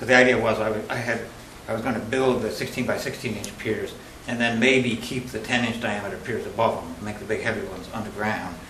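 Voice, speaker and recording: Through noticeable background noise and audible room echo, a man of medium pitch talks at a very fast pace with fairly even intonation. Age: 60s. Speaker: appellant at zoning hearing. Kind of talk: public hearing testimony. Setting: town board meeting with public audience. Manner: halting.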